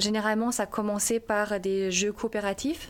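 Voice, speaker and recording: The voice belongs to a woman. Her intonation is fairly even. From Germany. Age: 30s. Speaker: primary school teacher. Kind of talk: interview testimony. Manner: halting.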